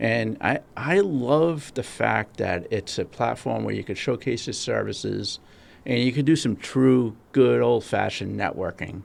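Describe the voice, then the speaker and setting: A man talks with a Massachusetts accent. His pace is fairly slow. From Rhode Island. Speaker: podcast co-host. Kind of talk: casual podcast chat.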